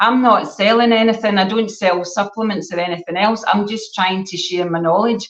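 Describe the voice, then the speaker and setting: A woman speaks with a Scottish accent. She leaves hardly any pauses. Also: medium pitch for a woman, moderate pace. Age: 60s. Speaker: gut health educator. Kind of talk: casual chat. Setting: live stream. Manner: animated.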